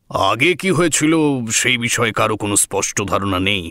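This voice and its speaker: At a moderate pace, a man puts on a character voice at a medium pitch. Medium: audio drama. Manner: measured, explanatory.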